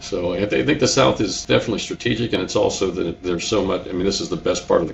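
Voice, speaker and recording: Amid noticeable background noise, a man speaks very fast with a slight New England accent. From Connecticut, New England. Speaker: business owner, contractor. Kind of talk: interview. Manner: repetitive, halting with repeated words.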